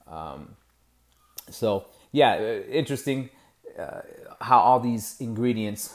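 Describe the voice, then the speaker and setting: A man with an American accent at a fairly slow pace, with ordinary pitch variation. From Ohio, US Midwest. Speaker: podcast host, musician and music educator. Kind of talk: casual monologue. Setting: home studio.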